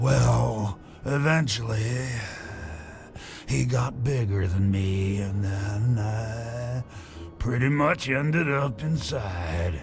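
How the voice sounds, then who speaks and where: Putting on a character voice at medium pitch, a man speaks at a very slow pace with long, frequent pauses over clear background noise. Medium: video game. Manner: casual, chatty.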